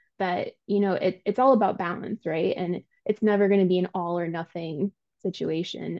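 A woman with a plain, everyday voice speaks at a moderate pace, her medium pitch held in fairly even intonation. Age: 30s. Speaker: gym client. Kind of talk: casual interview.

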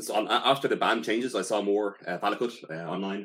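A man with a Dublin accent speaks at a fairly low pitch and a fairly quick pace. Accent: Dublin Irish. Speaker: podcast co-host. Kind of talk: casual chat. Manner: halting.

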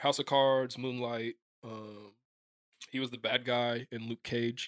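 In a medium pitch, a man speaks very slowly and in a monotone, flat way, with big swings in loudness and a dry, close sound with no echo. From Kansas City, US Midwest. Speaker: actor. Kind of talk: casual chat.

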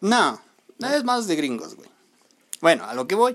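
Very wide pitch swings run through the speech, delivered with a Mexican accent. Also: man. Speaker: podcast co-host. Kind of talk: casual chat; storytelling.

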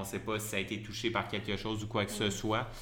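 Speaking fairly quickly with a Quebec accent, a man has a fairly low pitch and a bright, sharp tone, with audible room echo. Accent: Québécois French. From Quebec (Lévis, south shore of Quebec City). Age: 30s. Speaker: cook and food-waste nonprofit co-founder. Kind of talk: interview. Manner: hesitant with many fillers.

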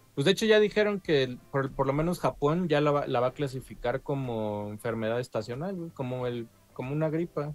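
A man with a fairly high pitch, lively intonation and a fairly quick pace, hardly any pauses, music in the background. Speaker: video game podcast host. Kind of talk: casual chat.

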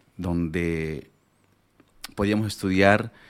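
A man speaks very slowly. His pitch is very deep and low. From Bolivia, rural La Paz (Pacajes). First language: Aymara (speaking Spanish). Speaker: chef. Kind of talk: interview storytelling.

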